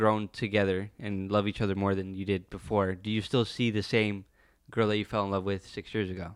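A man speaks at a fairly quick clip in a fairly low pitch, with a plain, everyday voice, on a very clean recording with a silent background. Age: 20s. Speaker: podcast guest, friend of host. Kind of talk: casual chat.

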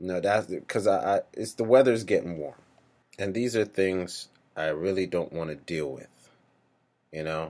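A man with an American accent and a very deep, low pitch, at a moderate pace with ordinary pitch variation and long, frequent pauses. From US Northeast, New York area. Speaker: podcast host. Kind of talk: casual solo monologue. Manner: hesitant, many fillers.

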